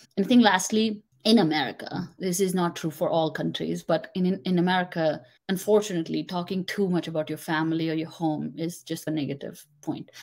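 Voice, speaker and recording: This woman speaks quickly enough, at a fairly low pitch, with a non-native accent and fairly even intonation. The recording is very clean, with a silent background. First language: not English. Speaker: confidence coach. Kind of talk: interview.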